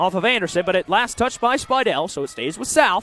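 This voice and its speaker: Energetic in tone, a man speaks at a high pitch with lively intonation, recorded dry and close with no echo amid noticeable background noise. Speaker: play-by-play sports broadcaster. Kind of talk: live basketball play-by-play call. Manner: fast, energetic.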